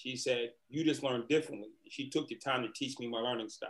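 With an American accent and an unremarkable speaking voice, a man talks at a moderate pace and medium pitch, his intonation fairly even. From Boston, Massachusetts. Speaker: motivational speaker and former prisoner. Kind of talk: interview.

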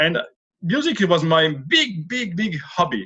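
A man with a French accent speaks at a fairly slow pace. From France, Lorraine. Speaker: author and former opera tenor. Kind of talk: interview. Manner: halting.

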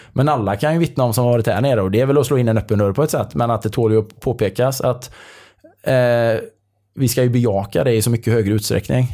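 A man at medium pitch, dark and mellow in tone, talking very fast with very even loudness and ordinary pitch variation, on a very clean recording with a silent background. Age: 50s. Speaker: triathlon coach. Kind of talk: casual chat. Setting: indoors at a resort in the evening.

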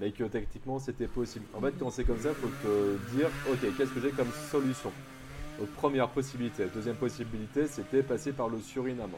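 At a fairly quick pace, a somewhat breathy man speaks with a medium pitch and fairly even intonation. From Bordeaux, southwest France. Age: 30s. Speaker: primary school teacher. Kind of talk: interview testimony. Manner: casual, hesitant with fillers.

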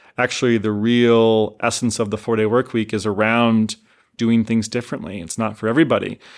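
An unremarkable speaking voice from a man, medium in pitch, with fairly even intonation and a fairly quick pace, on a very clean recording over a silent background. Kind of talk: interview clip.

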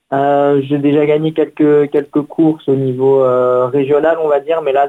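A man with a fairly high pitch speaks in a monotone, his intonation flat. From Paris region, France. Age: 20s. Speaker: runner, race winner. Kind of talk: radio interview. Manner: hesitant, many fillers.

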